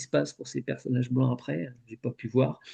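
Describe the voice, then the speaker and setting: A man's dark, mellow tone. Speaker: hypnosis session guide. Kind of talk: group discussion. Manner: halting.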